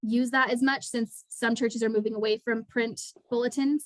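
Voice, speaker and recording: The recording is dry and close with no echo. A woman with a fairly high pitch speaks at a fairly quick pace, her intonation fairly even. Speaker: nonprofit fundraising staff. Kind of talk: webinar presentation. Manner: fast.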